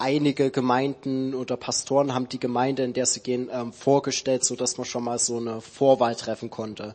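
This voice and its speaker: At a moderate pace, the speech stays in a monotone, flat intonation. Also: man. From Saxony, Dresden. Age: 20s. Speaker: theology student. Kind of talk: church interview testimony.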